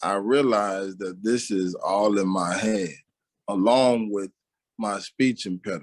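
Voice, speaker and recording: A man with a plain, everyday voice talks at a fairly slow pace, his fairly low pitch held to fairly even intonation. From Aurora, Illinois (Chicago area), US Midwest. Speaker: interview guest, religious community member. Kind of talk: interview testimony.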